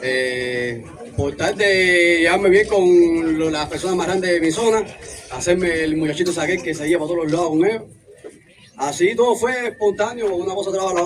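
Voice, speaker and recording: A voice with ordinary pitch variation moves at a fairly quick pace over noticeable background noise. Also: man. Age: 20s. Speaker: recovering drug addict. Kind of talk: testimony.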